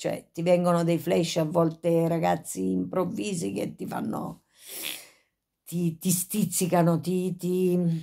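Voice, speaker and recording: Against a quiet background, a woman speaks very slowly at a fairly low pitch. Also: ordinary pitch variation. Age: 50s. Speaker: YouTuber with Tourette syndrome. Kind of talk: casual vlog monologue. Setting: at home, in bed. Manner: frequent vocal tics and sudden exclamations; halting, with many fillers. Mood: reflective, a bit agitated. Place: home room. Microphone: phone near.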